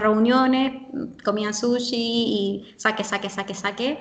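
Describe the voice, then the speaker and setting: Noticeable background noise sits behind the clip. A woman talks at a moderate pace with fairly even intonation. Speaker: language teacher who lived in Japan. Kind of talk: interview.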